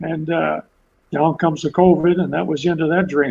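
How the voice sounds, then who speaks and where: A man with a Canadian accent talks at a fairly quick pace, his fairly high voice edged with vocal fry. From Ontario, Canada. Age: 70s. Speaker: retired five-pin bowler. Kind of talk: casual interview storytelling. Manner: animated.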